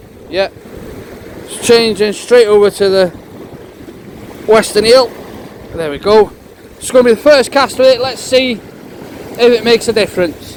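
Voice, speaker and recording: A man's high-pitched voice at a moderate pace, with ordinary pitch variation and noticeable background noise. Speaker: fishing vlogger. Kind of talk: outdoor vlog with tips. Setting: outdoors on the shore.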